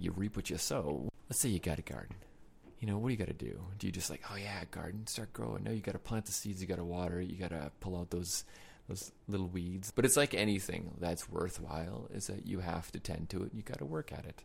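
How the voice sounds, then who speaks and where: With a very deep, low pitch and vocal fry, a man talks in a playful tone with lively intonation. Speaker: podcast host. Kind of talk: casual chat. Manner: joking, playful.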